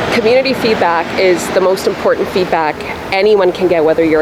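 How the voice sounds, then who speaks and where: A woman with a Canadian accent speaks at a fairly quick pace over noticeable background noise. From Poland, raised in Canada. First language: Polish. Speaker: municipal election candidate. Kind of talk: interview.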